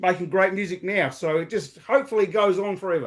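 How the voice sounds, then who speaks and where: A man with an Australian accent, high pitch and fairly even intonation, over a quiet background. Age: 60s. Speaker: podcaster. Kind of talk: interview. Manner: halting.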